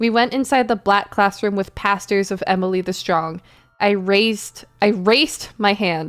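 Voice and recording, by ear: Someone is heard reading aloud in a natural voice.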